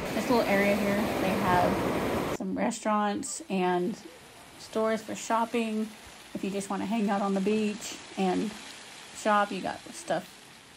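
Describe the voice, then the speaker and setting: Noticeable background noise accompanies speech at a fairly slow pace with fairly even intonation. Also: woman. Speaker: travel vlogger. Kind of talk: casual vlog chat. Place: street. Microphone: phone near.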